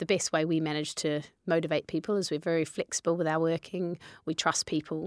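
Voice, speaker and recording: Woman with a New Zealand accent, fairly low pitch, monotone and flat intonation, very even loudness and a fairly quick pace, in a very clean recording with a silent background. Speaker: fitness business co-founder. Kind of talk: interview.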